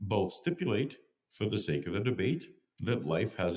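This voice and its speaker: A man's fairly low voice with vocal fry, very wide pitch swings and a fairly slow pace. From Canada. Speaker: YouTube commentator and debater. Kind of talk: scripted narration.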